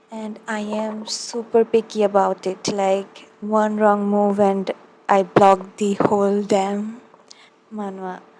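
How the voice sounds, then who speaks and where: At a very slow pace, a woman speaks in a monotone, flat intonation with big swings in loudness and noticeable background noise. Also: medium pitch for a woman. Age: young. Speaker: ASMR creator and college student. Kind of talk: casual ASMR talk with tapping.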